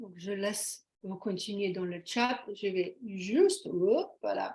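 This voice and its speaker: A woman with a Slovenian accent speaks very slowly in a somewhat breathy voice at a medium pitch, her intonation fairly even and her loudness swinging widely. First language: Slovene (speaking French). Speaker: webinar presenter. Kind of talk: webinar presentation. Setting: video call. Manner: halting.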